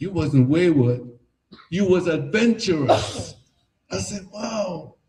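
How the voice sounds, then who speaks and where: A man with a Trinidadian accent speaks very slowly in a dark, mellow, somewhat breathy tone with lively intonation. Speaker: artist. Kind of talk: artist talk at an exhibition.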